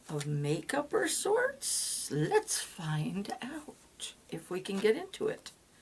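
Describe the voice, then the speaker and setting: A woman talks very slowly, and noticeable background noise runs behind her. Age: 50s. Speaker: beauty unboxing vlogger. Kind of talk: casual talk to camera.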